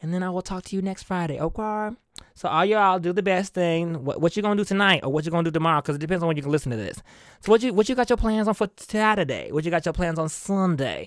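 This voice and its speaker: Recorded very cleanly against a silent background, a man talks very fast at a high pitch with ordinary pitch variation. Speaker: podcast host. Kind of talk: casual solo monologue. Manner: animated.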